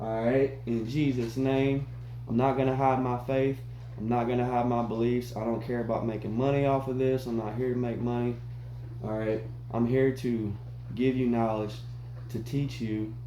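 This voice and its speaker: A man speaks in a flat monotone. There is audible echo from the room. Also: medium pitch for a man, moderate pace. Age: 30s. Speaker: fitness vlogger. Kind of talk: casual workout vlog.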